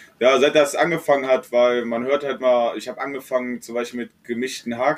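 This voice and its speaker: A man talks at a moderate pace. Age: 20s. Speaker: podcast guest. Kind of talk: casual chat.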